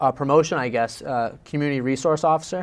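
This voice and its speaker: This man has a plain, everyday voice with an American accent, pitched fairly high. He talks at a fairly quick pace with ordinary pitch variation. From Massachusetts, Quincy (Boston area). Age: 20s. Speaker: police officer. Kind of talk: interview.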